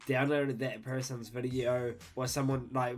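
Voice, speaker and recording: Moderate pace and medium pitch from a man, with music in the background and audible room echo. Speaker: YouTube reactor. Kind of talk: reaction video commentary. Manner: animated.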